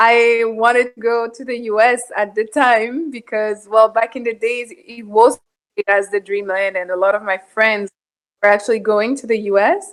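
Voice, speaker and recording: Her intonation stays fairly even at a moderate pace while her loudness swings widely. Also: fairly high pitch for a woman. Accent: French. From Ivory Coast. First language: French. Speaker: parishioner guest. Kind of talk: casual chat.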